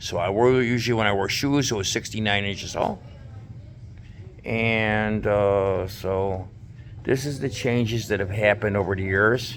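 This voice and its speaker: This is a plain, everyday voice of a man, fairly low in pitch. He keeps a moderate pace and fairly even intonation. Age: 60s. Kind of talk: casual talk to camera.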